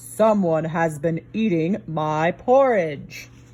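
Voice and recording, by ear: In a put-on character voice, a woman speaks very slowly at a fairly low pitch.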